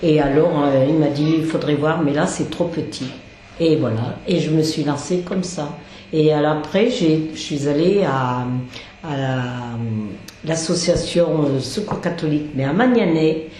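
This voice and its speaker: A woman with a very deep, low pitch speaks at a very slow pace with ordinary pitch variation, heard over noticeable background noise and audible room echo. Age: 70s. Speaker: charity volunteer cook. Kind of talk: interview. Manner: halting.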